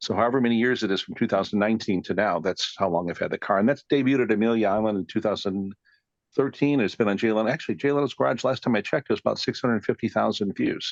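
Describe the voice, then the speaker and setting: A man with an American accent speaks at a very fast pace with ordinary pitch variation. The sound is dry and close with no echo. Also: medium pitch for a man, quiet background. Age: 60s. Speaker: classic car collector and researcher. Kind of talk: podcast interview. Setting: recording studio. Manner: rambling, hesitant with fillers.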